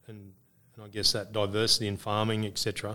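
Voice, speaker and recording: A man with an Australian accent talks at a fairly quick pace in a fairly low pitch, his tone bright and sharp. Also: very clean recording, silent background. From Australia, northern New South Wales. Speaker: organic farming business manager. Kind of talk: casual interview. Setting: conference venue.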